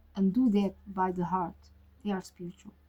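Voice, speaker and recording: A woman speaks with a Portuguese accent at a medium pitch. Her voice is somewhat breathy. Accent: Portuguese-speaking, non-native English. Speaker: tarot reader. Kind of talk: casual monologue. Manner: halting, many fillers.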